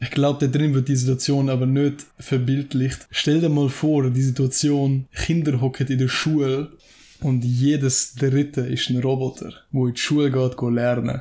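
On a very clean recording with a silent background, a man speaks at a fairly slow pace in a somewhat breathy, dark, mellow tone, his medium pitch held in a monotone, flat intonation with very even loudness. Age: 20s. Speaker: podcast co-host, student. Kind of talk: casual chat. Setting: at his home.

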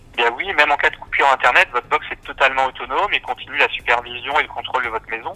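A man talks at a very fast pace in a medium pitch with ordinary pitch variation. The sound is dry and close, with no echo. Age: 30s. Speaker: engineer and home automation company founder. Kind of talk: interview.

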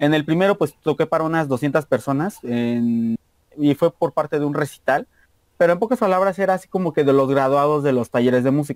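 A man with a Mexican accent, fairly high-pitched, at a fairly quick pace, with very even loudness, ordinary pitch variation and a dry, close sound with no echo. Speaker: university student and musician. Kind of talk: casual interview chat. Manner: fast; stumbling over words.

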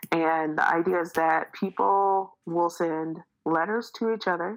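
In an unremarkable speaking voice, a woman talks with an American accent at a fairly low pitch. Her pace is fairly slow with ordinary pitch variation, on a very clean recording with a silent background. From Detroit, Michigan, US. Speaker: educational trainer and tech speaker. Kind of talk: casual interview.

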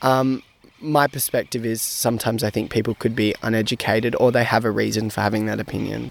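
A man at a very fast pace, with an Australian accent. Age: young. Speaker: university student. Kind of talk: interview.

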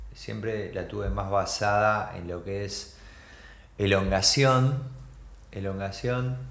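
The man speaks very slowly at a fairly low pitch in a Rioplatense accent. Room echo is audible. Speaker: skateboarder and photographer. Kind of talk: casual chat. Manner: halting.

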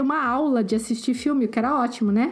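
A woman speaks very fast with ordinary pitch variation against noticeable background noise. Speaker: podcast co-host. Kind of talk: casual chat.

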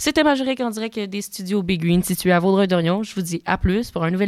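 A woman with an unremarkable speaking voice talks at a fairly quick pace, her medium pitch showing ordinary pitch variation. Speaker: podcast host. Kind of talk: podcast outro; casual interview. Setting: studio.

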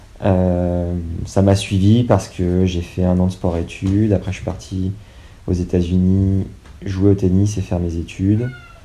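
Fairly slow and monotone, a man with a very deep, low voice talks in a flat intonation against noticeable background noise. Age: 20s. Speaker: podcaster and dog owner. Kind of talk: casual interview.

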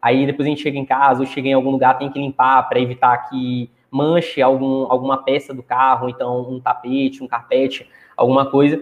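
This man talks at a fairly quick pace, his medium pitch held in a monotone, flat intonation. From Maranhão, Brazil (Chapadinha). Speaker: small business owner. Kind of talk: live stream interview. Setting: live stream.

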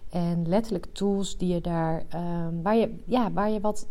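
A dark, mellow tone with fairly even intonation. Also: woman. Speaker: coach for highly sensitive women. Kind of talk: solo podcast monologue. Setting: rented work room.

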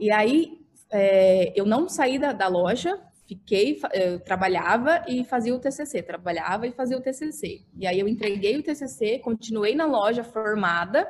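This woman's pitch swings very widely. She talks fairly slowly. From Brazil, Mato Grosso do Sul (Dourados). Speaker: architect and social media influencer. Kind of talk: podcast interview. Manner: animated.

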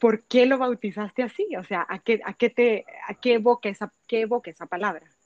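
Speaking fairly quickly in a normal speaking voice, a woman with a fairly high pitch shows ordinary pitch variation and big swings in loudness, captured with a dry, close sound and no echo. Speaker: podcast host. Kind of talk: interview.

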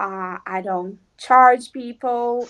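Against a quiet background, a woman speaks at a high pitch with lively intonation. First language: Portuguese. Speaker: physical medium. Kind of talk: casual interview.

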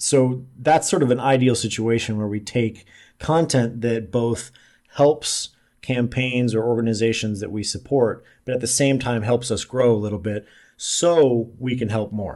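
Against a quiet background, a man with an American accent speaks at a fairly slow pace in a medium pitch, with a dark, mellow tone and ordinary pitch variation. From US Midwest, Omaha, Nebraska. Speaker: online marketer and centrist organizer. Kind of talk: casual interview.

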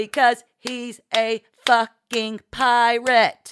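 In a put-on character voice, a woman speaks very slowly in a raised, projected, shrill tone at a high pitch, her intonation monotone and flat. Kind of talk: vulgar, clapping for emphasis. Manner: screeching, furious.

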